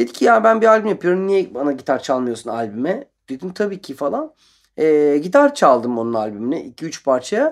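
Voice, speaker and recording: Very wide pitch swings mark a man's speech at a moderate pace. The recording is very clean, with a silent background. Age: 40s. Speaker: guitarist. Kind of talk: radio interview. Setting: radio studio.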